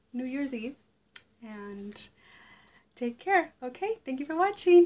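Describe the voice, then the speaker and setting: Recorded very cleanly against a silent background, a woman with a high pitch speaks at a very slow pace. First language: Spanish. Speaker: vlogger. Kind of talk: casual product review vlog. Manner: animated.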